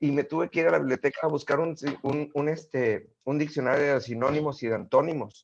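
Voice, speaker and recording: A man is speaking. The background is quiet. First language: not Spanish (speaking Spanish). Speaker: guest speaker. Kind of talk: casual interview.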